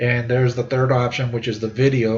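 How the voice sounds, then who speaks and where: With audible room echo, a man talks at a fairly quick pace in a medium pitch, somewhat breathy, with fairly even intonation. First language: not English. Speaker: university instructor; army veteran. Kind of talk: lecture. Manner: halting, many fillers and repeats.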